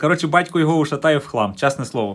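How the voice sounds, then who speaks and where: The delivery is animated and very fast, with ordinary pitch variation. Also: man. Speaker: DIY tech video blogger. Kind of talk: DIY tutorial.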